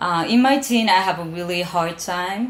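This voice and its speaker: Speaking fairly slowly with a Japanese accent, a woman uses a fairly low pitch, and audible room echo surrounds her voice. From Japan, Osaka. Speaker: soul singer. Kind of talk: interview. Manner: halting.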